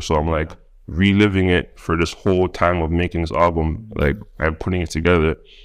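Delivering fairly even intonation at a fairly quick pace, a man speaks with a very deep, low pitch. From Toronto, Canada. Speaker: rap artist. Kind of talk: casual interview chat. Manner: casual, slangy.

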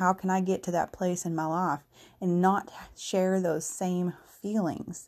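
A woman's fairly low, dark and mellow voice in a flat monotone, on a very clean recording with a silent background. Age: 30s. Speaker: solo podcaster, self-employed. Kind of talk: casual monologue. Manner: rambling, conversational.

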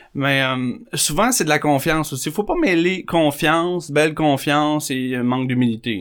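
A man talks in an ordinary speaking voice, fairly high in pitch with ordinary pitch variation, at a fairly slow pace with hardly any pauses, on a very clean recording with a silent background. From Quebec, South Shore of Montreal. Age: 30s. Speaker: recovering alcoholic sharing his story. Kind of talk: testimony.

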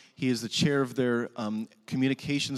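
A man talks at a fairly quick pace with a medium pitch and fairly even intonation, in a plain, everyday voice. The recording is very clean, with a silent background. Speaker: chapel worship leader. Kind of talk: prayer. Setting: chapel with audience. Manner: formal.

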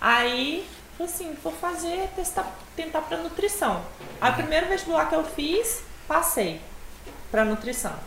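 A woman's extremely high voice with very wide pitch swings, a fairly slow pace, long, frequent pauses and audible room echo. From Espírito Santo, Brazil. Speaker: nutritionist. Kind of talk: casual chat.

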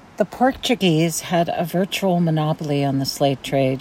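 Noticeable background noise surrounds a woman speaking with an American accent. Her pitch is very deep and low, with ordinary pitch variation. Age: 50s. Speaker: podcast host. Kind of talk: scripted narration. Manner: formal.

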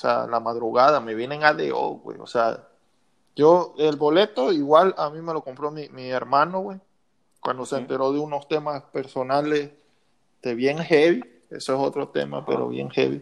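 Here is a plain, everyday voice at a moderate pace with ordinary pitch variation. Its loudness swings widely against a quiet background. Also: man, fairly high pitch for a man. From Mexico, Lerdo, Durango. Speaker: podcast guest, childhood friend. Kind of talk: casual chat.

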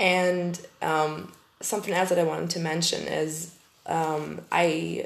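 Audible room echo and noticeable background noise surround the woman as she talks. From Germany. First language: German. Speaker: podcast host. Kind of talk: casual monologue. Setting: empty packed-up room. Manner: hesitant.

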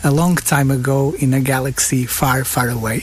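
Fairly high male speech against noticeable background noise. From northern Portugal, Guimarães. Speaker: film director. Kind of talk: interview. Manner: halting, many repetitions.

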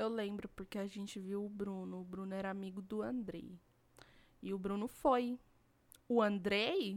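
A woman talks at a medium pitch and a fairly slow pace. She leaves long, frequent pauses. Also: fairly even intonation. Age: 20s. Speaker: podcast co-host. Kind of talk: casual chat. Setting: home recording, not a studio.

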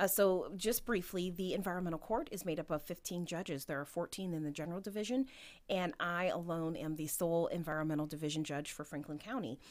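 Talking at a very fast pace, a woman with a fairly low pitch speaks in a Midwestern American accent. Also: ordinary pitch variation, very clean recording, silent background. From Ohio, Canton. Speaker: judge. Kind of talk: interview.

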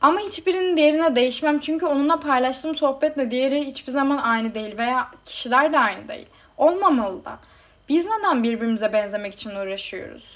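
A woman talks at a fairly quick pace in a high pitch, with lively intonation and big swings in loudness. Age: 20s. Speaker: podcast host. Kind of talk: personal monologue.

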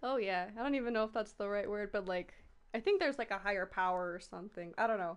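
Against a quiet background, a woman talks very fast at a medium pitch with ordinary pitch variation. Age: 20s. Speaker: cosplayer. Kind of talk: casual chat.

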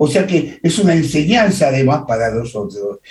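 This man's tone is dark and mellow. His voice leaps up and down across a very wide pitch range. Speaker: radio co-host, poet. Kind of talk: radio interview. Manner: formal, ornate.

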